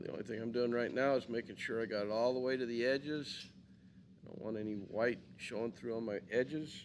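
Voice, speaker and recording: In a plain, everyday voice, a man talks at a fairly quick pace with fairly even intonation. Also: medium pitch for a man. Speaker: art teacher. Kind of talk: tutorial.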